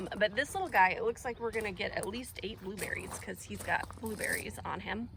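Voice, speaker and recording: The talk moves at a fairly quick pace with hardly any pauses, over noticeable background noise. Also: woman. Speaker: home gardener. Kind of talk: casual garden tour vlog. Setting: outdoors. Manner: hesitant, many fillers.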